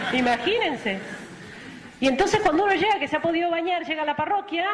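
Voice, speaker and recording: An animated woman in a Rioplatense accent, with audible room echo and noticeable background noise. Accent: Argentine Spanish (rioplatense). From Argentina. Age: 40s. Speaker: missionary nun. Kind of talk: testimony.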